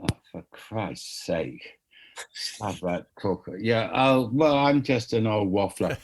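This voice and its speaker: A man speaks with a southern English accent at a very slow pace and a medium pitch. His intonation is lively, and the recording is very clean, with a silent background. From London, England. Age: 70s. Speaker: music manager. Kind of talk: interview.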